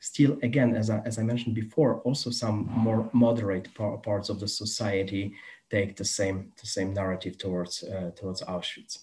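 A man's somewhat breathy, dark, mellow voice, fairly low in pitch, with a Polish accent, fairly even intonation and a moderate pace. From Poland. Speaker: museum educator. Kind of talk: lecture. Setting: video call. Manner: halting. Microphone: video call.

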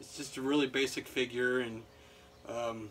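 At a moderate pace, a man talks with light background noise behind him. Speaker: toy reviewer. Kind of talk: casual review chat. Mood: relaxed, joking. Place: home room. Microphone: camera far.

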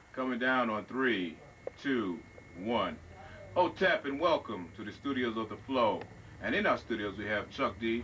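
A man speaks at a moderate pace with lively intonation and long, frequent pauses. Light noise sits in the background. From Long Island, New York. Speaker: TV show host. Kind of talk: interview. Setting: studio. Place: studio. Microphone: handheld.

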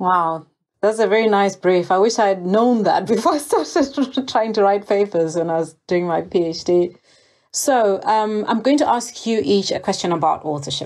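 A woman speaks in a plain, everyday voice at a medium pitch and moderate pace. Her intonation is lively and her loudness very even. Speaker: podcast host. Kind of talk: interview.

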